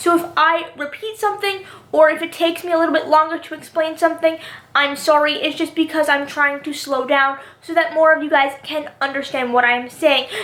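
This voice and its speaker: Against noticeable background noise, a woman with an extremely high pitch speaks at a fairly quick pace with fairly even intonation. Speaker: youtuber, TV show commentator. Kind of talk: casual vlog commentary. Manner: fast; repeats herself, stumbling.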